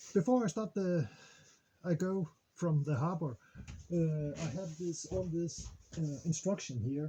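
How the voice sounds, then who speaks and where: Speaking fairly slowly with long, frequent pauses, a man with a non-native accent has a fairly high pitch, a dark, mellow tone and lively intonation. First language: Danish. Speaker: sailing vlogger. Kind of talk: casual vlog. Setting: on a boat in harbor, outdoors. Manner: halting, many fillers.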